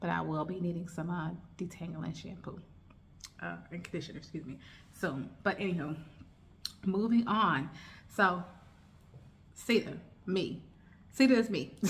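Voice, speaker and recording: Speaking at a moderate pace with long, frequent pauses, a woman with an American accent and a fairly low pitch has vocal fry and ordinary pitch variation, with audible room echo around her. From United States. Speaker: lifestyle vlogger. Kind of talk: casual chat. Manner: relaxed, filler-heavy.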